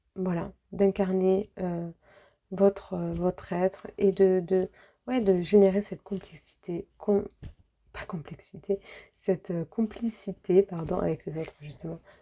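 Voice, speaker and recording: A soft-spoken woman talks at a very slow pace with big swings in loudness. Her tone is dark and mellow. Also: medium pitch for a woman. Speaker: medium and energy healer doing card readings. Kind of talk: tarot-style guidance reading. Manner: hesitant, many fillers.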